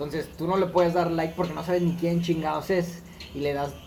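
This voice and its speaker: Through audible room echo, a man with a Mexican accent speaks fairly quickly in a high pitch with monotone, flat intonation. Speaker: podcast co-host. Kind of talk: casual chat.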